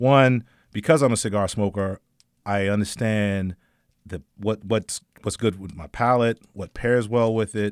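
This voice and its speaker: A man with an ordinary speaking voice talks at a fairly slow pace, with ordinary pitch variation and big swings in loudness. The recording is very clean, with a silent background. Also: fairly low pitch for a man, dry, close sound with no echo. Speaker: cigar company owner and entrepreneur. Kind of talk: casual radio interview. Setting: radio studio. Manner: joking, laughs often.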